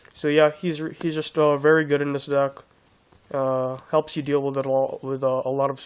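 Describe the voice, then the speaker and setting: The speaker keeps a moderate pace against noticeable background noise. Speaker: card game video creator. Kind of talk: deck profile tutorial. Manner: halting, many fillers and restarts; casual.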